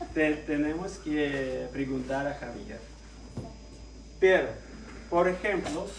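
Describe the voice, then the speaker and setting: In a Russian accent, a man speaks very slowly, with noticeable background noise and audible room echo. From Russia, Moscow. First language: Russian (speaking Spanish). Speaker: lay preacher. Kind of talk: sermon. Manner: halting.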